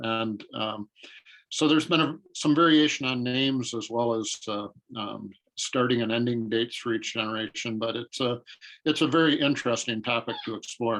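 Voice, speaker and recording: Here is a man with an unremarkable speaking voice, at a medium pitch. He talks at a moderate pace with ordinary pitch variation. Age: 60s. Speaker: marketing consultant. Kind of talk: interview.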